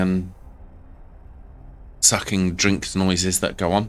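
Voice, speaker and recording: A man speaks softly at a fairly slow pace. His pitch is very deep and low. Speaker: gaming video creator. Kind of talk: gameplay commentary. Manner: soft-spoken.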